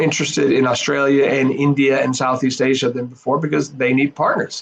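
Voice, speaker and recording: There's a man speaking in an Arizona accent. His pitch is fairly high. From US, Arizona. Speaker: professor, think tank head. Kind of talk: interview answers. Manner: halting, many fillers and repeats.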